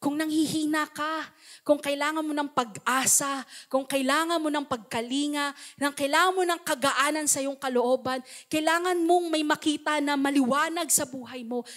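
Against a quiet background, a woman talks in a high pitch with an animated tone. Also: moderate pace. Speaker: pastor. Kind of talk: sermon. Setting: church. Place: church. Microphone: handheld.

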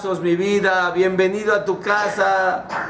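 Simple, plain reading aloud

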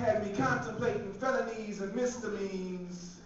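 Strong room echo and light background noise surround a man's voice. His pitch varies in an ordinary way. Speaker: spoken word poet. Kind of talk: live spoken word poetry performance. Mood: heartbroken, wry. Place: hall.

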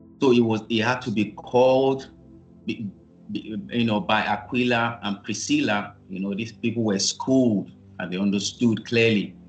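A man speaks at a fairly slow pace over faint background music. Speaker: minister teaching online. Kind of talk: sermon. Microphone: video call.

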